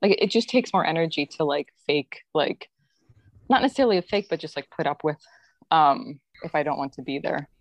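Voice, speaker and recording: In an ordinary speaking voice, a woman talks at fairly low pitch with lively intonation, the sound dry and close with no echo. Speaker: guest. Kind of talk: casual conversation.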